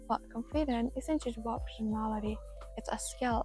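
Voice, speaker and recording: Music in the background behind a woman at a moderate pace. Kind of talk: motivational talk to camera. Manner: soft-spoken, calm.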